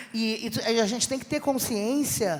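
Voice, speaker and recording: Noticeable background noise around a woman talking at a moderate pace. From southern Brazil (Rio Grande do Sul). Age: 60s. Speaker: comedian. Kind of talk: panel discussion.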